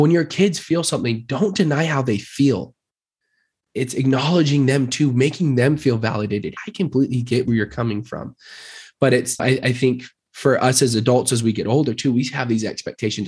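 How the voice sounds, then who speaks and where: A man's somewhat breathy voice at a medium pitch, with an American accent, ordinary pitch variation and a quiet background. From Utah (Murray). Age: 20s. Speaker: real estate agent. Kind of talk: casual interview.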